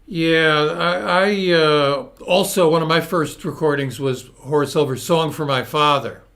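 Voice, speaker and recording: Speaking with a Northeastern US accent, a man keeps a fairly slow pace with hardly any pauses. Audible room echo is present. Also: fairly high pitch for a man, ordinary pitch variation. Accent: American Northeast. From US Northeast, Hartford Connecticut. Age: 70s. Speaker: interview show host. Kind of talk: casual interview chat. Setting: live video stream.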